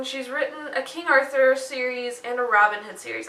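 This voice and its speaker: Over noticeable background noise and audible room echo, a woman talks at a moderate pace in a high voice. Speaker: book vlogger. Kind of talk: casual chat.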